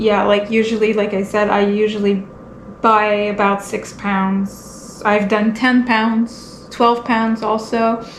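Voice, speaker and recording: A woman with a Quebec accent and fairly high pitch speaks at a fairly slow pace. Room echo is audible, along with noticeable background noise. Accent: French-Canadian accent in English. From Quebec, French Canada. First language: French. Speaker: homesteading vlogger and tattoo artist. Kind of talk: casual vlog tutorial. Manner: halting, searching for words; monotone.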